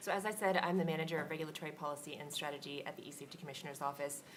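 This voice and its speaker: A woman with a very deep, low voice and ordinary pitch variation speaks at a very fast pace with audible room echo. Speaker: government regulatory policy manager. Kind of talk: conference panel discussion. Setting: conference stage with audience.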